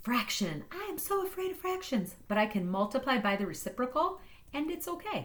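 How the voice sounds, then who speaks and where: With audible room echo around her, a woman speaks in an animated, somewhat breathy tone with very wide pitch swings. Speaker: math teacher. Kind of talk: tutorial.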